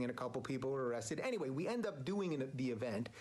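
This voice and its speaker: A man talks at a very fast pace and a medium pitch. Noticeable background noise runs underneath. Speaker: talk show host. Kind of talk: casual talk to camera.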